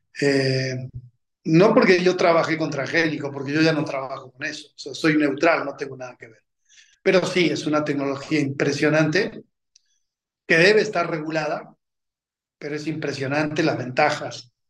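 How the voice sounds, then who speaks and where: An unremarkable speaking voice at a moderate pace with fairly even intonation. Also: man, fairly high pitch for a man. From Argentina (Junín, Buenos Aires). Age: 50s. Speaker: agribusiness executive. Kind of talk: interview conversation.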